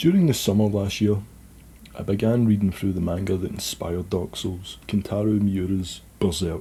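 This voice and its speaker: This man's voice is somewhat breathy, with a dark, mellow tone and a fairly low pitch. He keeps a moderate pace and fairly even intonation. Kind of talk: casual video essay narration.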